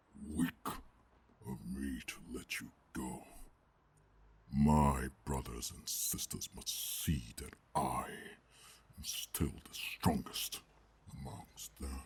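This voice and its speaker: A man uses a put-on character voice, gruff, whispering and growling. He speaks at a very slow pace with long, frequent pauses. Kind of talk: ASMR roleplay. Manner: calm, menacing.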